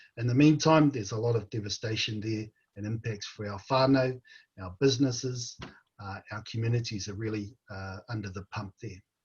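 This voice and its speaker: A somewhat breathy man with a New Zealand accent, medium pitch, ordinary pitch variation and a fairly quick pace. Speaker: panel moderator. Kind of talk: panel discussion. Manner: halting.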